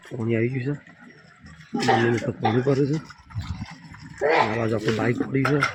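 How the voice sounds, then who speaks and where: With noticeable background noise, a man talks at a medium pitch with fairly even intonation. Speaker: family vlogger. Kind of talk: casual vlog.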